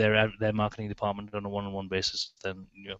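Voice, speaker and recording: A man speaks at a fairly low pitch with an English accent. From England. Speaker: magazine editor. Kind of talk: podcast interview answer.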